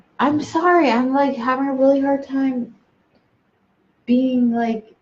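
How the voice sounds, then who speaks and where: A woman talks at a fairly slow pace in a high pitch, her intonation fairly even. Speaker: pregnant mother vlogging with husband. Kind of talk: casual chat.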